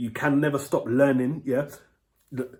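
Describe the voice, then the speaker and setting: Here a man talks with a London accent at medium pitch. His pace is moderate. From London, England. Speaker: book reviewer. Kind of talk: casual vlog review. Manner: halting, many fillers.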